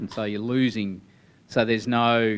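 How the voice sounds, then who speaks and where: The speaker is a man with a fairly low pitch. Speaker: athletics coach. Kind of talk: group feedback summary. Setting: meeting room with audience. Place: meeting room. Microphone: handheld.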